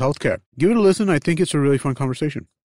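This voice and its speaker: On a very clean recording with a silent background and a dry, close sound with no echo, a man with an ordinary speaking voice uses a fairly high pitch and lively intonation. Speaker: podcast host. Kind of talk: casual interview.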